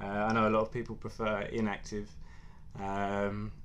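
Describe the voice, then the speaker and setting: In an English accent, a man with a fairly low pitch speaks amid audible room echo. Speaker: mobile security engineer. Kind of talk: technical presentation. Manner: halting, many fillers.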